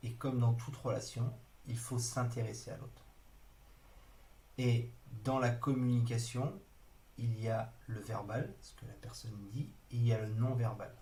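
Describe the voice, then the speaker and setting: In a room with audible echo, a man talks slowly in a flat monotone at medium pitch, somewhat breathy, with big swings in loudness and long, frequent pauses. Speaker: trainer. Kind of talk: online training lecture. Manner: hesitant, many fillers.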